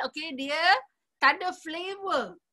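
The voice is raised and projected, with a bright, sharp tone and lively intonation. It moves at a fairly slow pace over a quiet background. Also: woman. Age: 50s. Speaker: nutritionist; presenter. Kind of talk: sales presentation. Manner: animated. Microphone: video call.

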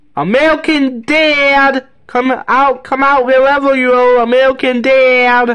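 In a put-on character voice, the speaker shouts at a high pitch with monotone, flat intonation, at a fairly slow pace with hardly any pauses. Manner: yelling, calling out.

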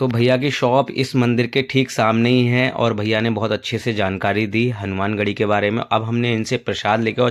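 This man speaks at a medium pitch. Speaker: vlogger and temple tour guide. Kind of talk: tour guide narration, vlog walkthrough. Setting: outdoors at temple sites. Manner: animated, devotional, explanatory.

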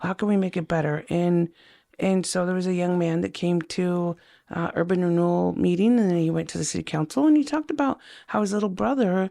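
In an Idaho accent, a woman with a fairly low pitch and a dark, mellow tone speaks with lively intonation. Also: fairly quick pace, very clean recording, silent background. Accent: American, Idaho. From Idaho, Caldwell. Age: 60s. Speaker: city council candidate. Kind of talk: interview. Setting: studio. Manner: animated.

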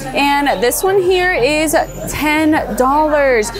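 Over clear background music, a woman's voice sounds dry with no echo. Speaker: shopping vlogger. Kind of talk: casual vlog chat. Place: shop. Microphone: phone near.

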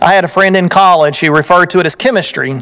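A man talks with high pitch and ordinary pitch variation. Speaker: preacher. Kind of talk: sermon. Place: church. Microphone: podium.

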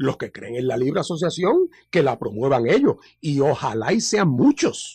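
Over a quiet background, a man speaks. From Puerto Rico. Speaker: party leader and lawyer; radio interview guest, lawyer. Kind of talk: radio interview. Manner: halting with many fillers. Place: studio.

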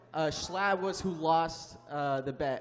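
Speaking very slowly, a man uses a high pitch and fairly even intonation. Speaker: streamer and YouTuber; streamer, YouTuber. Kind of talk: live convention panel. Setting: stage with audience. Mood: relaxed, friendly. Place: hall. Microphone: handheld.

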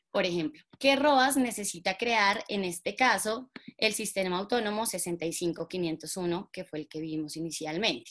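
A woman speaks in a normal speaking voice at medium pitch, fairly slowly and with lively intonation, against a quiet background. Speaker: networking instructor. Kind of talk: tutorial. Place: home room. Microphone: webcam.

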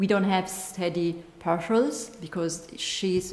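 Fairly even intonation from a woman, with audible room echo. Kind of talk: lecture. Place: hall. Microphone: podium.

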